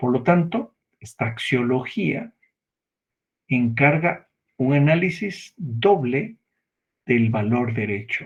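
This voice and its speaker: A man speaks at a very slow pace, with long, frequent pauses. His medium-pitched voice is somewhat breathy and has lively intonation. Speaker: law lecturer. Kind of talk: lecture.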